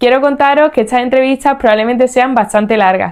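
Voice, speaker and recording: A woman is speaking. Her pace is very fast. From Spain, Seville (Andalusia). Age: 30s. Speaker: podcast host. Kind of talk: podcast monologue.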